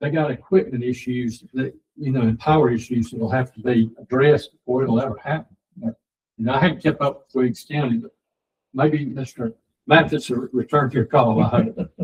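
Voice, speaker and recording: At a fairly quick pace, a man talks at a medium pitch with ordinary pitch variation. His voice is somewhat breathy. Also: big swings in loudness. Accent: Georgia. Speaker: county board chairman. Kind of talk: public meeting discussion. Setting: county commission meeting room. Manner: halting, many fillers.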